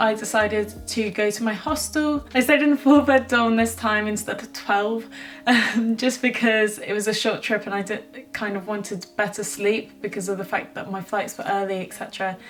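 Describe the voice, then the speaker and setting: With hardly any pauses, a woman speaks in a British accent with ordinary pitch variation while noticeable background noise sits behind her. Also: fairly high pitch for a woman, moderate pace. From Britain. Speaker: travel vlogger. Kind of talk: casual vlog narration. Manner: chatty, with fillers and self-corrections.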